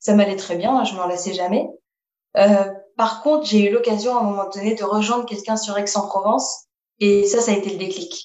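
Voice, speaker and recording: This woman has an unremarkable speaking voice. Her pitch is medium and varies in an ordinary way. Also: moderate pace. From Paris region, France. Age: 20s. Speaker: roller skating traveler. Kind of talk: interview.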